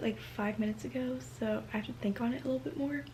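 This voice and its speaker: Against noticeable background noise, a soft-spoken woman talks at a very fast pace. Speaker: book vlogger. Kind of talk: casual vlog talk. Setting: at home late at night.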